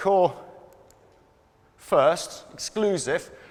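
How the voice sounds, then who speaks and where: This man speaks. His pitch is high. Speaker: conference speaker on digital marketing psychology; conference speaker. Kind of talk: conference presentation. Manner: fast. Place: hall. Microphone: lapel.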